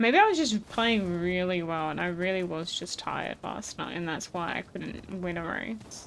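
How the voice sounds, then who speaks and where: A woman with a fairly low pitch talks at a moderate pace with hardly any pauses and ordinary pitch variation. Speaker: video game streamer. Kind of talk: live gameplay stream chat. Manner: occasional tongue clicks mid-word; casual, conversational.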